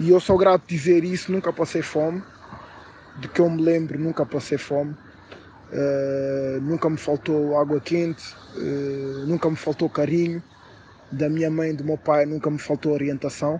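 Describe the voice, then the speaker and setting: Against noticeable background noise, a man with a fairly high pitch speaks at a fairly slow pace in a monotone, flat intonation. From Portugal, Lisbon area. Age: 20s. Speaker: interview guest. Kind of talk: interview. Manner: hesitant, many filler sounds.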